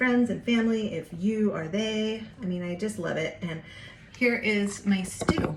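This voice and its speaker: Medium pitch from a woman at a fairly slow pace, with audible room echo and noticeable background noise. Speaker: home cooking vlogger. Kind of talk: casual cooking tutorial. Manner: chatty, informal; whispering at times.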